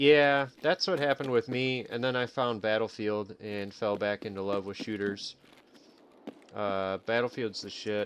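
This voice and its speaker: A man with an American accent speaks at a fairly low pitch. His pace is moderate and his pitch variation ordinary. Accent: Chicago accent, sometimes comes out. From Illinois, Chicago area. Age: 30s. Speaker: gaming streamer. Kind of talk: casual live stream chat. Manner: casual, rambling with fillers.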